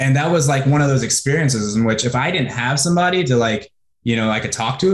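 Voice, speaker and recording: A somewhat breathy man talks very fast, his pitch swinging very widely. Room echo is audible, though the background stays quiet. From US Pacific Northwest (Washington State). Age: 30s. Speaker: online marketer; interviewee. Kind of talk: interview. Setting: video call. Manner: animated. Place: home room. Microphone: webcam.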